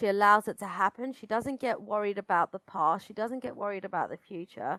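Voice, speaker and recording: A woman with a British accent talks at a fairly quick pace and medium pitch, in a bright, sharp tone with ordinary pitch variation. Her loudness swings widely, and the sound is dry and close with no echo. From Britain. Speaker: astrologer. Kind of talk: casual chat.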